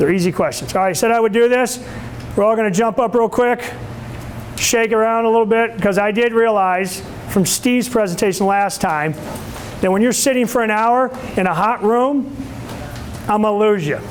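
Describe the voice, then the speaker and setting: A man with a high pitch talks at a moderate pace, with long, frequent pauses, ordinary pitch variation and very even loudness. Audible room echo and noticeable background noise are present. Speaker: sales trainer. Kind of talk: lecture. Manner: animated.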